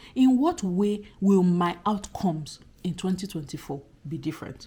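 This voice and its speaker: Her voice is somewhat breathy, with a dark, mellow tone. The woman sits at a medium pitch. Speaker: YouTuber, life and career advice. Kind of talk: casual vlog talk. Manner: animated.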